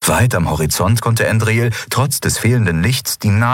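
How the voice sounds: The speaker reads in a natural reading voice.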